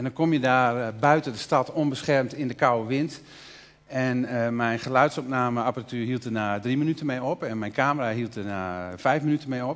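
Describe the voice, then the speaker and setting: A man talks at a moderate pace, his pitch variation ordinary. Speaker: artist; guest. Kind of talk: interview. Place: stage. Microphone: headset.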